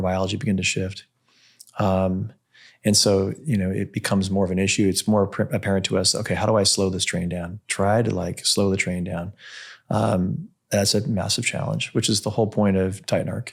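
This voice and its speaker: This man has a plain, everyday voice, fairly low in pitch with fairly even intonation, speaking at a fairly quick pace on a very clean recording with a silent background. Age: 60s. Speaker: longevity medicine practitioner and podcast host. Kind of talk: interview conversation.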